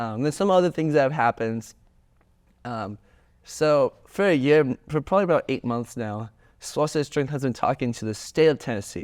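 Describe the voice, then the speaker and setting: A man with an American accent talks at a moderate pace in a fairly high pitch, his intonation lively. The recording is very clean, with a silent background. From US South. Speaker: student club founder. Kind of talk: podcast interview. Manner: animated.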